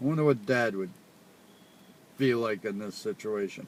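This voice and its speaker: Lively intonation marks this man's speech in a Rhode Island accent. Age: old. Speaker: father. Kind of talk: casual chat.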